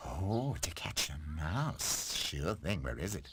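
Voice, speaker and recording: A man does a cartoonish character voice at a very deep, low pitch and a fairly slow pace, with clear background noise behind him. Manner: smug, teasing.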